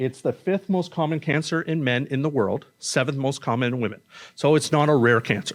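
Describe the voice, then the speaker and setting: A man of fairly high pitch talks at a moderate speed, his pitch varying in an ordinary way. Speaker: medical oncologist. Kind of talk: conference talk. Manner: loud; casual, conversational.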